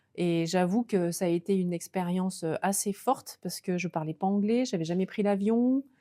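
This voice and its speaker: A woman speaks at a moderate pace in a dark, mellow tone. She leaves hardly any pauses. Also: medium pitch for a woman, ordinary pitch variation, dry, close sound with no echo. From France, Lozère then Alpe d'Huez (Alps). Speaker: former Olympic snowboarder turned coach. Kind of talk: interview. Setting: studio. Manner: hesitant, many fillers.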